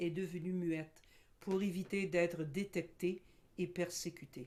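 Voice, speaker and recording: Fairly slow and fairly even in intonation, a woman speaks at a fairly low pitch in an ordinary speaking voice. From Quebec. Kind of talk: educational presentation. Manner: formal.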